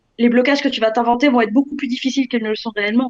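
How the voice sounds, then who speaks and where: Fairly even in intonation, a woman talks at a high pitch. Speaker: e-commerce entrepreneur. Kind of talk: interview. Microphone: frozen video connection.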